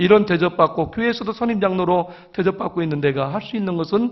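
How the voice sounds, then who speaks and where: A man speaks with a high pitch at a moderate pace. His pitch varies in an ordinary way. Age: 60s. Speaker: church elder. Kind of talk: testimony.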